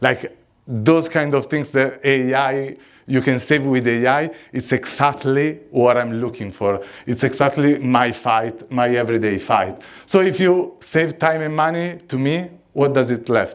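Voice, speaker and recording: Someone with an Italian accent speaks at a fairly slow pace with ordinary pitch variation, in a very clean recording with a silent background. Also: man, medium pitch for a man. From Italy. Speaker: conference speaker. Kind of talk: conference talk. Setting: stage with audience.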